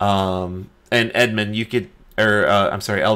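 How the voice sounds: The natural reading voice holds a fairly even intonation from start to finish.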